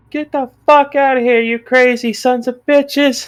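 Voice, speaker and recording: A woman uses a put-on character voice. It sits at a high pitch. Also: moderate pace. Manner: angry, shouting.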